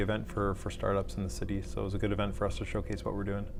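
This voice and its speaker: With vocal fry, a man talks at a fairly low pitch and ordinary pitch variation. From Canada. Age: 30s. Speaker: startup CEO. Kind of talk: interview answer.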